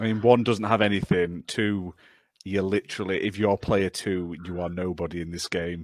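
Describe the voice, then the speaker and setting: A man's very deep, low voice with a British accent, fairly even in intonation, on a very clean recording with a silent background. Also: moderate pace, dry, close sound with no echo. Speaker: podcast host. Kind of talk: casual chat.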